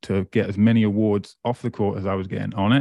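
Recorded dry and close with no echo, a man with an East Anglian accent speaks at a fairly quick pace, his fairly low voice dark and mellow in tone with ordinary pitch variation. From England, Great Yarmouth. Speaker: motivational speaker. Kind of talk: interview.

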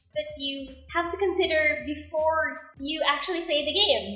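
Over music in the background, a woman speaks at a fairly slow pace with an extremely high pitch and fairly even intonation. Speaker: podcast co-host. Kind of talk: scripted outro; casual chat. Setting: recording at home.

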